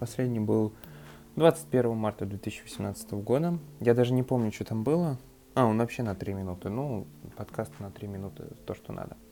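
A man at a medium pitch talks at a moderate pace with ordinary pitch variation, big swings in loudness and long, frequent pauses. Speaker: tech podcaster. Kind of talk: casual review monologue. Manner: hesitant, filler-heavy.

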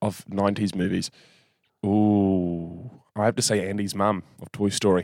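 With a New Zealand accent, a man speaks in a fairly low pitch at a fairly slow pace. His intonation is monotone and flat. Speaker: podcast co-host. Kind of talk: casual chat.

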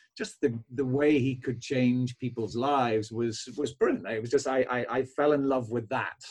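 This man speaks with a Belfast accent at a moderate pace. His intonation is flat and monotone. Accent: Belfast Northern Irish. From Northern Ireland, Belfast. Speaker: chiropractor. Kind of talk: interview podcast conversation.

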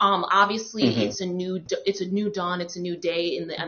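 Delivered at a moderate pace, this is an ordinary speaking voice with an American accent. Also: woman. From New York. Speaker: podcast host. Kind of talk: casual panel chat.

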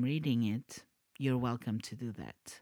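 The speaker is a woman. She talks with a Portuguese accent. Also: dry, close sound with no echo. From Portugal. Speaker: podcast host, storyteller. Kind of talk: reading aloud; casual chat.

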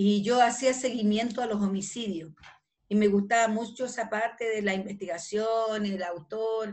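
A woman's fairly high voice at a fairly slow pace, with fairly even intonation. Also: quiet background. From northern Chile (Calama). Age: 60s. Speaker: retired police detective. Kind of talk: interview. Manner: halting, with frequent repetitions.

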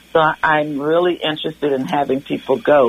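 An American-accented woman with a very deep, low pitch, amid noticeable background noise. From US South. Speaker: community volunteer. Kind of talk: radio interview. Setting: phone call.

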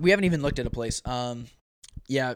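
Speaking at a fairly quick pace, a man with a plain, everyday voice, medium pitch and an American accent sounds dry and close, with no echo. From Oregon. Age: 20s. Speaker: professional runner. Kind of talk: casual chat. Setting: studio.

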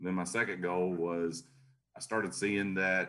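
A man speaks with a Tennessee accent at a very deep, low pitch. His tone is bright and sharp. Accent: Southern US (Tennessee). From US South, Chattanooga, Tennessee. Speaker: garage door business owner and franchisor. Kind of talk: podcast interview.

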